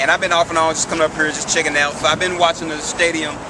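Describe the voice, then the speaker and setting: A man with an American accent talks at a very fast pace and a fairly high pitch. There is audible room echo and noticeable background noise. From US South, Memphis, Tennessee. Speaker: passer-by interviewed on the street. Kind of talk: casual street interview.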